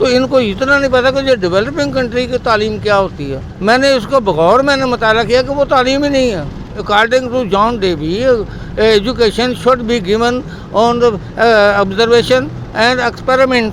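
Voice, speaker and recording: Over noticeable background noise, a man talks at an extremely high pitch with ordinary pitch variation. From Pakistan, Punjab (Rahim Yar Khan). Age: 60s. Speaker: rickshaw driver. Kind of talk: interview. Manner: halting, with repetitions.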